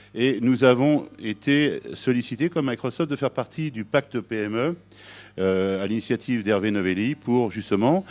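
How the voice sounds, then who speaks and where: A man speaks at a moderate pace with a medium pitch and ordinary pitch variation against a quiet background. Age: 60s. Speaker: sales director at a factoring company. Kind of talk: business presentation. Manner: hesitant, many filler sounds.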